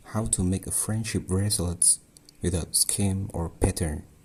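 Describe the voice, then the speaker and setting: A man's very deep, low voice, somewhat breathy, with fairly even intonation. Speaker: craft tutorial maker. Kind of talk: tutorial. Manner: halting.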